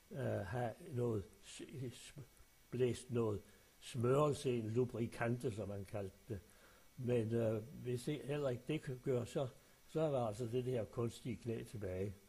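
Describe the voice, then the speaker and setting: A man speaks at a medium pitch and a fairly slow pace. His tone is dark and mellow, somewhat breathy, with ordinary pitch variation. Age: old. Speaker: retiree sending a voice message to family. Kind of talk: personal voice message. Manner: halting, with many fillers.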